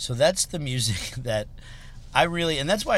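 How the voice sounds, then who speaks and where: Using an ordinary speaking voice, a man with an American accent talks at a fairly quick pace with lively intonation. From Chicago area, Illinois. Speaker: rock musician. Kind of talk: casual chat. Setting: in a car.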